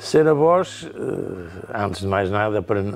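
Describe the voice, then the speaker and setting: Little else can be heard around him. The man's voice is pitched rather low. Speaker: grandfather; interviewee. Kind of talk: interview testimony. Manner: halting. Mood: calm, reflective. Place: home room.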